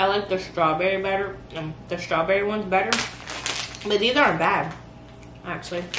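A woman's fairly quick speech over noticeable background noise. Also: ordinary pitch variation. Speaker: vlogger. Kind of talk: casual vlog chat. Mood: playful, joking. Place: kitchen. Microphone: camera far.

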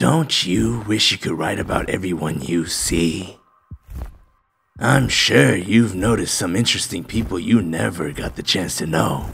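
Putting on a character voice, a man speaks at a moderate pace in a very deep, low and raspy pitch. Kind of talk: parody comedy acting. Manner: sly, tempting, casual.

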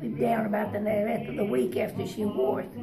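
Noticeable background noise is heard as a woman talks at a moderate pace. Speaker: museum visitor explaining history. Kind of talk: casual spoken explanation. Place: hall. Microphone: phone near.

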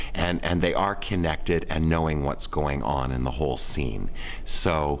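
A man talks at a moderate pace, with light noise in the background. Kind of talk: interview answer. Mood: reflective, animated. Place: workshop.

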